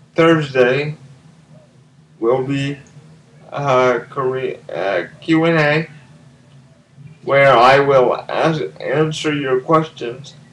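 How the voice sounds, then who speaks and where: Very slow speech from a man with a fairly high pitch and ordinary pitch variation, long, frequent pauses and noticeable background noise. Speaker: language video blogger. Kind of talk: vlog monologue. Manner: slurred speech at times; hesitant, with fillers.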